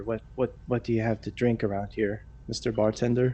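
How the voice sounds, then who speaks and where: A man mumbles in a put-on character voice at a medium pitch and a fairly quick pace. Clear background noise can be heard. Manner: passive mumbling.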